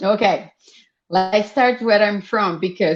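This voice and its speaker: With a Brazilian Portuguese accent, a woman speaks in a medium pitch at a moderate pace. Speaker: fashion designer and entrepreneur. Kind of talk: podcast interview.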